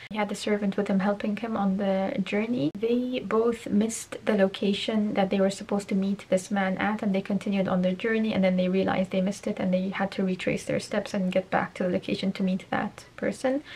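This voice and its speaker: Soft-spoken and at medium pitch, a woman talks at a fairly quick pace with hardly any pauses, very even loudness, and fairly even intonation. Noticeable background noise is present. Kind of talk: casual vlog talk. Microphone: quiet recording, amplified heavily in editing.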